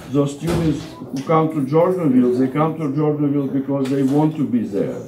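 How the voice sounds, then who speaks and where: Delivered with a Russian accent and fairly even intonation, the speech carries noticeable background noise and audible room echo. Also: man. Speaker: Orthodox deacon and seminary professor. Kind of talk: lecture. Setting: parish hall talk with audience eating. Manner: halting, with many fillers and restarts.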